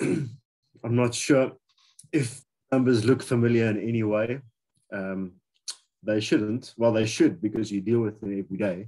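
A man speaks at a moderate pace with a dark, mellow tone, ordinary pitch variation and long, frequent pauses against a quiet background. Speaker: healthcare facility design expert. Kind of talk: lecture. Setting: video call. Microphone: video call.

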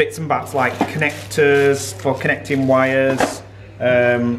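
A man's medium-pitched voice with fairly even intonation, over noticeable background noise. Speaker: vlogger. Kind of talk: casual vlog talk. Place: home room. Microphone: phone near.

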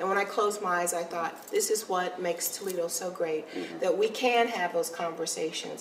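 Her medium-pitched voice moves at a fairly quick pace with fairly even intonation and hardly any pauses. The woman is heard with audible room echo and light background noise. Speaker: city mayor. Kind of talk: casual interview chat. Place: studio.

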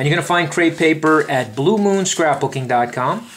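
This man talks with lively intonation at a moderate pace, his pitch fairly high, as noticeable background noise plays underneath. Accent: American. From Brooklyn, New York. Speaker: craft shop presenter. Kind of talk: product demo. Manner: animated.

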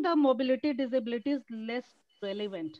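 Against a quiet background, a woman in an Indian accent speaks with a high pitch. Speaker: event organizer. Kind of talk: welcome speech. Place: home room. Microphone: video call.

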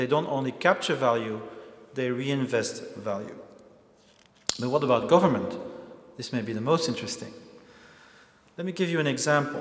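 A man talks with ordinary pitch variation and long, frequent pauses. Room echo is audible. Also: moderate pace. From Belgium. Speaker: lecturer and activist; lecturer. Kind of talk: lecture. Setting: stage with audience. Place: hall. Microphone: lapel.

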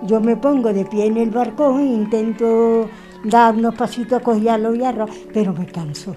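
With clear music playing behind her, a woman with an Andalusian accent talks at a fairly slow pace in a fairly high voice, leaving long, frequent pauses. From Andalusia, Puente Genil (Córdoba). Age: 70s. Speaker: Covid-19 survivor. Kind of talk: interview. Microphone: handheld.

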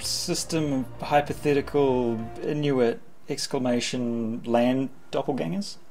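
Fairly slow speech with faint background music. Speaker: co-host of a movie chat show. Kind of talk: casual comedic banter. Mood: playful, joking. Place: home room.

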